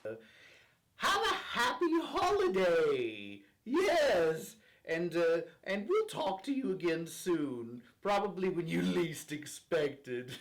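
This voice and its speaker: This man puts on a character voice pitched high. He speaks at a fairly slow pace. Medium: comedy sketch. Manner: playful.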